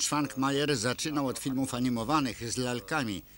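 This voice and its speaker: A man's bright, sharp tone at medium pitch, on a very clean recording with a silent background. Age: old. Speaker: voice-over reader. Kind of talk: voice-over translation of interview.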